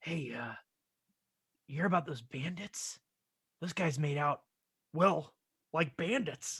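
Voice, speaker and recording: Raspy and middle-pitched, this put-on character voice moves at a fairly slow pace with long, frequent pauses. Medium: actual play. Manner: blustering, mocking.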